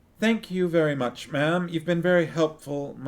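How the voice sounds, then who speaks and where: Here a man mumbles in a high, put-on character voice. His pace is moderate. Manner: muttering, low and mumbled.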